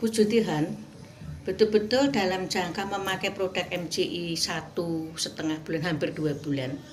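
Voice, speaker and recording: Music plays in the background, and audible room echo surrounds a woman's voice. She talks at a moderate pace with ordinary pitch variation. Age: 60s. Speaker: product customer giving testimonial, retired kindergarten teacher. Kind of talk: testimony.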